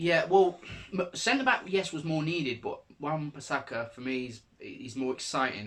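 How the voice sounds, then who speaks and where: With a northern English accent, a man talks at a moderate pace in a fairly high pitch, using very wide pitch swings and big swings in loudness. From northern England, Salford. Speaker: football vlogger. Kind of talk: casual chat.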